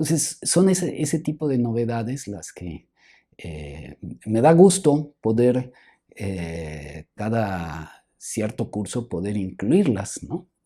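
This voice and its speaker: A man speaks at a very slow pace with a dark, mellow tone, very wide pitch swings and big swings in loudness. The recording is very clean, with a silent background. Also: medium pitch for a man. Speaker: film historian and professor. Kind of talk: interview conversation. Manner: soft-spoken; hesitant, halting.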